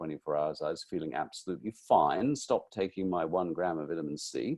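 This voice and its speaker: A man talking at a very fast pace. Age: 60s. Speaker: nutritionist and author. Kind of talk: interview.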